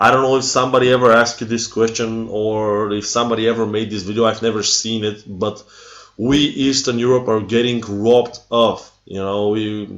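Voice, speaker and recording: With a Bulgarian accent, a man of medium pitch talks at a fairly quick pace in a monotone, flat intonation over noticeable background noise. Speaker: metal fan vlogger. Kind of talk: casual rant to camera. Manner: halting.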